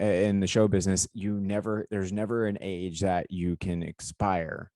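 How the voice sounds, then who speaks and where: "A normal speaking voice" describes this man, who has a fairly low pitch and an American accent and speaks at a fairly slow pace. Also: dry, close sound with no echo, quiet background. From US South. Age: 30s. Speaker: podcast co-host and aspiring stuntman. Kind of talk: casual chat. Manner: rambling, filler-heavy.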